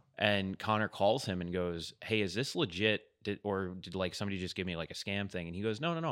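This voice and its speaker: In a very clean recording with a silent background, a man talks very fast at a fairly low pitch. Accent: American. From US Northeast (New York). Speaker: podcast co-host. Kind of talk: casual chat.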